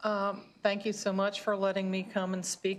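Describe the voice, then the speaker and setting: A woman's medium-pitched voice at a fairly slow pace, in a very clean recording with a silent background. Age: 70s. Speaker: witness, alternative health practitioner. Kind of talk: personal testimony. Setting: committee hearing room.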